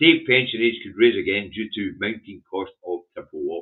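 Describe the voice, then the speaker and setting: Here a man speaks with a Scottish accent. His pace is moderate. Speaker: political commentator. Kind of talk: newspaper headline review livestream. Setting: livestream.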